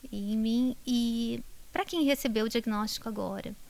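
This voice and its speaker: Speaking at a very slow pace with a Brazilian accent, a woman uses a fairly high pitch and fairly even intonation on a very clean recording with a silent background. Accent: countryside Brazilian. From Brazil, interior (countryside). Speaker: neurologist, professor. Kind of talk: interview.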